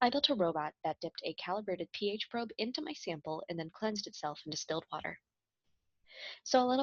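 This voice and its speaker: A woman with a Midwestern accent talks at a very fast pace and medium pitch, with lively intonation and a dry, close sound with no echo. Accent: American Midwest. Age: 20s. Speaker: chemistry student. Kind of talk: scripted project presentation.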